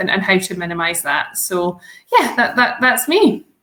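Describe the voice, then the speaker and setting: A woman speaks in a bright, sharp tone. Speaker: solicitor, law firm founder. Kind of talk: interview. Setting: live stream. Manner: casual, hesitant with many fillers.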